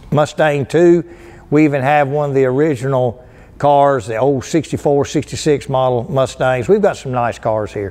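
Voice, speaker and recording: In a North Carolina accent, a man speaks at a fairly slow pace with a medium pitch and ordinary pitch variation. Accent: Southern US (North Carolina). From US South, North Carolina (Lowell). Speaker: car dealership performance manager. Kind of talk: casual storytelling to camera. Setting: museum. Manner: animated. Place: hall.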